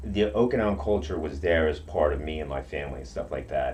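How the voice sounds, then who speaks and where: A man speaks at a fairly quick pace with audible room echo around him. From Okinawa, Japan. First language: Japanese. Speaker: karate practitioner. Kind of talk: interview. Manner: halting.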